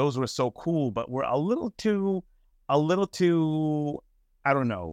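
A man speaks at a fairly slow pace in a plain, everyday voice, his fairly high pitch carried by lively intonation, with dry, close sound, no echo and a quiet background. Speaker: podcast host. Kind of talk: casual chat.

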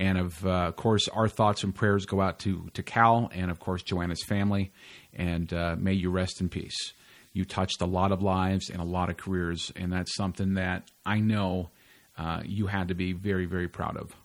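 In a very clean recording with a silent background, a man with a very deep, low pitch talks at a moderate pace in monotone, flat intonation. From California. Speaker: comedy podcast host. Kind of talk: podcast monologue intro; casual interview chat.

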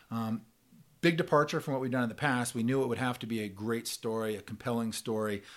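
Here is a man with an unremarkable speaking voice and a medium pitch. He talks at a fairly quick pace. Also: very clean recording, silent background. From Oregon, US West. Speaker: fly fishing travel company founder. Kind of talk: casual interview. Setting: office.

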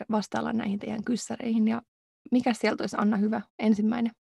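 In a dry, close sound with no echo, a woman with a fairly high pitch and a dark, mellow tone speaks in a monotone, flat intonation with vocal fry. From Finland. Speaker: podcast co-host, doctoral student. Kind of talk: casual chat. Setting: recording booth.

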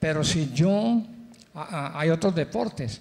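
Lively intonation marks a man speaking at a high pitch. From Colombia, Cali. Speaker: pastor. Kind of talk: interview on church stage.

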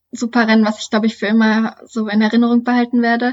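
A woman's fairly high voice comes across somewhat breathy. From Lower Saxony, Germany (Duderstadt). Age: 20s. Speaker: trail runner and student. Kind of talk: interview.

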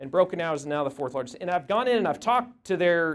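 A man with a high pitch talks at a fairly quick pace, his intonation lively. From Oklahoma, Tulsa. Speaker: politician and entrepreneur. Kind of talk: luncheon speech.

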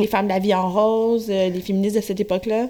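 A woman speaks with a fairly high pitch. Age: 30s. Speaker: radio producer, interviewer. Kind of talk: interview. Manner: hesitant, many fillers.

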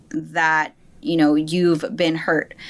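A woman talks in an ordinary speaking voice, fairly low in pitch with fairly even intonation. The background is quiet. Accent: American. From New Jersey, US. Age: 30s. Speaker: life coach and yoga instructor. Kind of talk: casual interview.

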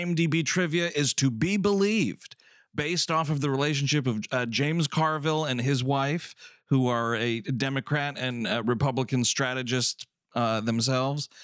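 A man speaks in a normal speaking voice at a fairly high pitch and a moderate pace, with ordinary pitch variation. The recording is very clean, with a silent background. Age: 30s. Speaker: podcast host and film programmer. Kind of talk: casual chat.

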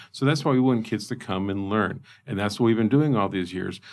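With a Midwestern American accent, a man talks at a fairly quick pace with lively intonation on a very clean recording with a silent background. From Indiana, US Midwest. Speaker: zoo director. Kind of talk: interview. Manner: animated.

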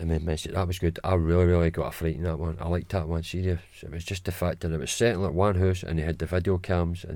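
Over a very clean recording with a silent background, a man rushes along at a very fast pace, his very deep, low voice dark and mellow in tone and flat, monotone in intonation. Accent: Glaswegian. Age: 40s. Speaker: guest, host's father. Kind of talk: casual chat.

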